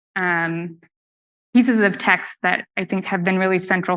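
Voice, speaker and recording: A woman's medium-pitched voice, bright and sharp in tone, over a quiet background. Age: 30s. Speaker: artist. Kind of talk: presentation talk. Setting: live talk with audience. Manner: hesitant, many fillers.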